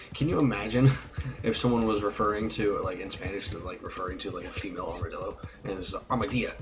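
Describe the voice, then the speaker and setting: A man with a fairly low voice and an American accent talks at a very fast pace with ordinary pitch variation, over noticeable background noise and audible room echo. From Texas. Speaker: live streamer, gamer. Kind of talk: casual gaming chat.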